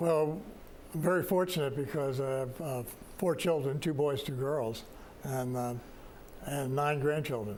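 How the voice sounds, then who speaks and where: Amid audible room echo, a man with an American accent and a fairly high pitch talks at a fairly slow pace with ordinary pitch variation and long, frequent pauses. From New York. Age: 80s+. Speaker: retirement community resident board representative. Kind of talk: interview. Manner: halting, many fillers.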